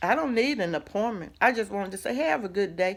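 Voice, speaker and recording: A woman speaks loudly in an animated tone with very wide pitch swings, on a very clean recording with a silent background. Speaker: minister, inspirational vlogger. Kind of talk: motivational talk.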